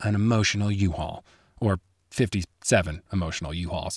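Recorded very cleanly with a silent background and a dry, close sound with no echo, a man with an American accent has an ordinary speaking voice, a fairly low pitch and ordinary pitch variation. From US Midwest, Chicago. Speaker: skier and storyteller. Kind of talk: scripted narration.

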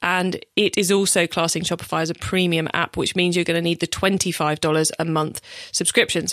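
A woman speaks with an English accent, her pitch fairly low and her intonation fairly even. The sound is dry and close, with no echo. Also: very clean recording, silent background. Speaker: e-commerce podcast host. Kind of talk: solo podcast tutorial. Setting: studio.

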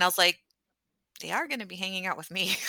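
A woman with an American accent speaks with vocal fry and a bright, sharp tone, the sound dry and close with no echo on a very clean recording with a silent background. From Texas. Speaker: podcaster and physician. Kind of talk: casual interview conversation.

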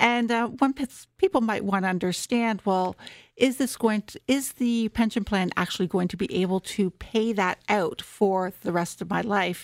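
A woman with a Canadian accent, an ordinary speaking voice, speaks at a moderate pace and medium pitch with ordinary pitch variation, in a very clean recording with a silent background and a dry, close sound with no echo. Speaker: tax and retirement researcher. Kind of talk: expert interview.

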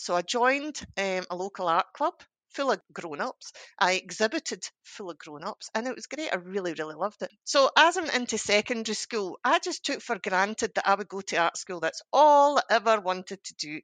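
A woman speaks in a Scottish accent at a moderate pace and medium pitch, with very wide pitch swings and big swings in loudness. The background is quiet, and the sound is dry and close with no echo. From Scotland, Ayrshire. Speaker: artist and art teacher. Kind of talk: interview.

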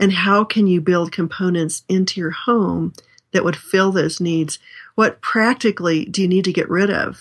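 A woman speaks with a normal speaking voice at a medium pitch and moderate pace. Her intonation is fairly even, and the background is quiet. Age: 60s. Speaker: author and speaker on family life. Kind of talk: interview.

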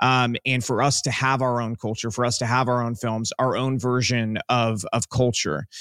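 Heard dry and close with no echo, a man with an ordinary speaking voice and medium pitch talks at a moderate pace with hardly any pauses and fairly even intonation. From US, Cuban-American family. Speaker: filmmaker. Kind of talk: interview.

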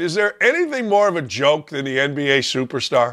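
Raised and projected, a man's bright, sharp voice races at a very fast pace with an animated tone and very wide pitch swings. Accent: American. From US Midwest, Gary, Indiana. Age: 60s. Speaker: sports radio host, former coach. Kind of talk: casual talk show monologue.

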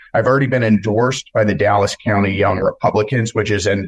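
A somewhat breathy voice talks at a fairly quick pace with ordinary pitch variation. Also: man. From West Texas. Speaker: congressional candidate and news publisher. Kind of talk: interview.

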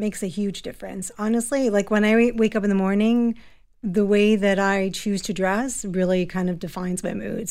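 A woman with a plain, everyday voice, medium pitch, moderate pace and fairly even intonation, on a very clean recording with a silent background. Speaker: fashion stylist and professor. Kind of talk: radio interview.

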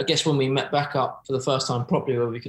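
Somewhat breathy and fairly even in intonation, a man speaks at a very fast pace. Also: very clean recording, silent background. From Oxford, England. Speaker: professional footballer. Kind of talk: casual chat. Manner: laid-back.

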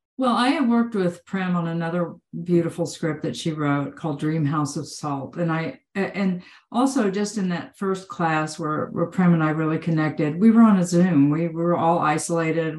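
A woman's unremarkable speaking voice, fairly low in pitch, with ordinary pitch variation, a moderate pace and hardly any pauses over a quiet background. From Texas. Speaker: actor. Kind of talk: casual chat. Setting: video call.

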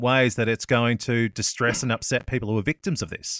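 A man talks at a very fast pace. The recording is very clean with a silent background and a dry, close sound with no echo. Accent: Australian. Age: 30s. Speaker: radio host. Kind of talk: interview.

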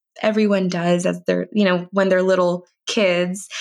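A woman speaks at a medium pitch with ordinary pitch variation and a Californian accent against a quiet background. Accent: Californian American English. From US, East Bay, California. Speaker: registered dietitian. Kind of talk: interview.

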